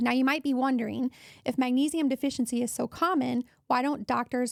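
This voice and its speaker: On a very clean recording with a silent background, a woman speaks at a fairly quick pace and high pitch, her intonation fairly even and the sound dry and close with no echo. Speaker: wellness podcast host. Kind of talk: health podcast monologue. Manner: casual, conversational.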